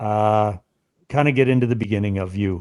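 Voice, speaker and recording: On a very clean recording with a silent background, a man with a Canadian accent speaks at a moderate pace. The sound is dry and close with no echo, and his pitch varies in an ordinary way. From Canada, Essex County, southern Ontario. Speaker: podcast host. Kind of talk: casual podcast interview.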